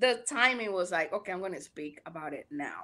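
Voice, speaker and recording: A woman speaks with a Panamanian accent at a moderate pace. Her tone is bright and sharp. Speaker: podcaster. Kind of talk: casual interview chat.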